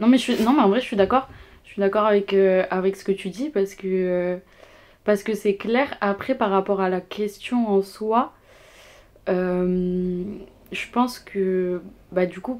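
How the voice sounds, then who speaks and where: On a very clean recording with a silent background, a woman speaks fairly slowly at a medium pitch with fairly even intonation, big swings in loudness, and long, frequent pauses. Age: 20s. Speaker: student. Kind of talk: casual chat. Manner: hesitant, many fillers.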